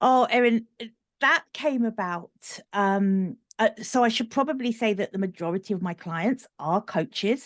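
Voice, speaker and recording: With a British accent, a woman speaks at a medium pitch and a fairly slow pace with lively intonation, in a dry, close sound with no echo over a quiet background. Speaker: business coach. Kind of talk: podcast interview.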